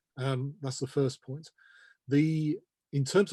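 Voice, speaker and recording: A somewhat breathy man with a British accent at medium pitch, dark and mellow in tone, fairly even in intonation and fairly slow in pace, dry and close with no echo over a quiet background. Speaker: terminology organization representative. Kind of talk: interview. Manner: measured, explanatory.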